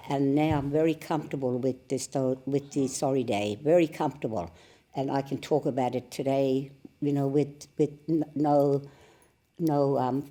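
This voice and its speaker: A dark, mellow voice moves at a moderate pace with fairly even intonation. The recording is very clean, with a silent background. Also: woman. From Western Australia. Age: 70s. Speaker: Stolen Generations survivor. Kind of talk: radio interview.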